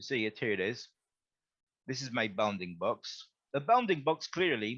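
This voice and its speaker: Using a normal speaking voice, a man at medium pitch talks at a moderate pace with lively intonation and big swings in loudness. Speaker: webinar instructor. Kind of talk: software tutorial.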